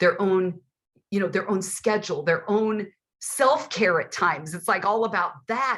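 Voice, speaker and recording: At a moderate pace, a woman with a medium-pitched voice speaks in an animated tone, her pitch varying in an ordinary way. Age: 60s. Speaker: author and father-daughter expert. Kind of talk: interview.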